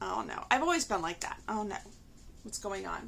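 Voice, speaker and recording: This woman speaks at a fairly quick pace. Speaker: crafting vlogger. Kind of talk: casual chat. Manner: loud; hesitant, many fillers.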